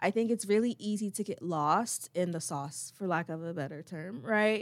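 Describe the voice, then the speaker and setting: On a very clean recording with a silent background, a woman with an American accent and an ordinary speaking voice speaks at medium pitch with lively intonation. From Chesapeake, Virginia. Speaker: student affairs program coordinator. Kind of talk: interview.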